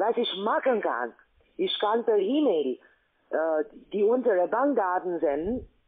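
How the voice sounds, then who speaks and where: In a non-native accent, a speaker goes at a very slow pace with lively intonation over a quiet background. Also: woman. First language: not German (speaking German). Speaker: scam call center agent. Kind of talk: sales pitch. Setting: phone call. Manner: halting. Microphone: phone line.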